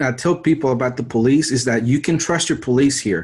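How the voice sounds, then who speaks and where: Speaking in an American accent, a man with a normal speaking voice talks at a fairly quick pace over a quiet background. His pitch sits at a medium level with ordinary variation. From Mexico City, Mexico until age 10, then US. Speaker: survival channel creator. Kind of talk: interview.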